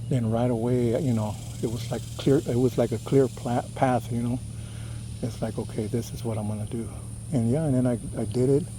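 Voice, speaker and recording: A soft-spoken man with an American accent, medium pitch, moderate pace and monotone, flat intonation. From California (Los Angeles), Texas-born. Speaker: cycling vlogger. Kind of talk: casual vlog monologue. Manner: hesitant, many fillers.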